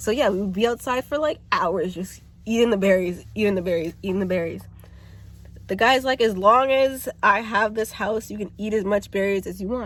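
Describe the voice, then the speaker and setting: Moderate pace and ordinary pitch variation. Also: woman, medium pitch for a woman. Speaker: YouTuber. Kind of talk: casual storytelling vlog. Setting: outdoors. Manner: loud.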